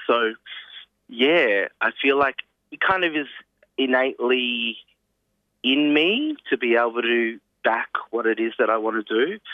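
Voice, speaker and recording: With an Australian accent, a man speaks at medium pitch and a fairly slow pace, using ordinary pitch variation and long, frequent pauses. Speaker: singer-songwriter and actor. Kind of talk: interview. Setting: phone call.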